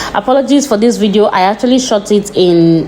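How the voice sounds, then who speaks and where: Over noticeable background noise, a woman with a non-native accent talks at a fairly quick pace. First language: not English. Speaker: vlogger. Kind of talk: vlog narration. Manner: casual.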